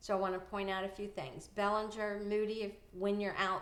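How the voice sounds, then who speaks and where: A woman at medium pitch speaking at a moderate pace, with audible room echo. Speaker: anesthesia billing consultant and conference speaker. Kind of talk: casual video talk with screen share.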